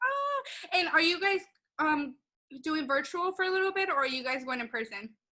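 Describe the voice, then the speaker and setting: Raised and projected, a woman's voice with an extremely high pitch and a bright, sharp tone makes very wide pitch swings at a moderate pace, broken by long, frequent pauses. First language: not English. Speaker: podcast host. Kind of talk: casual chat.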